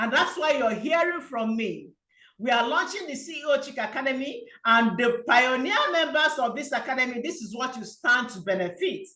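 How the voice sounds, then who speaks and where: A woman with a high pitch and a bright, sharp tone speaks in a raised, projected voice with lively intonation. Her loudness swings widely, and room echo is audible. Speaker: business coach. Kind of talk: sales pitch. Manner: fast.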